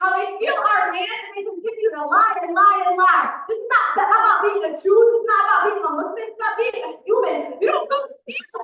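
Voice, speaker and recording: A woman with an extremely high voice talks at a fairly quick pace, with hardly any pauses. Her intonation is lively and her loudness swings widely. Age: 20s. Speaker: public commenter at city council. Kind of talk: public comment speech. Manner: impassioned.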